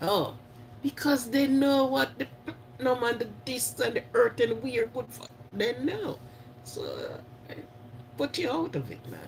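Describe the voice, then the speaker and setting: A man with a Jamaican accent speaks in an animated tone, his loudness swinging widely, with long, frequent pauses and noticeable background noise. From Jamaica (St Mary parish). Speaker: live stream host. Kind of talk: casual live chat with viewers.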